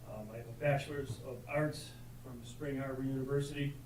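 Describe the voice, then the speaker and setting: Against noticeable background noise and audible room echo, a man with an American accent speaks at a medium pitch and moderate pace with fairly even intonation. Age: 60s. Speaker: retired police officer and veteran, public commenter. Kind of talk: public comment at county board meeting. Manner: halting, many fillers and repetitions.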